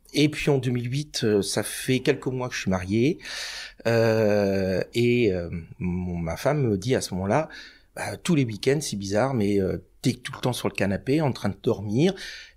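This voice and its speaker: This man's voice sits at medium pitch, with lively intonation and big swings in loudness at a fairly slow pace. The recording is very clean, with a silent background. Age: 50s. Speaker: cancer patient and freelance trainer. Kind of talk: podcast interview testimony. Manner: hesitant, many fillers.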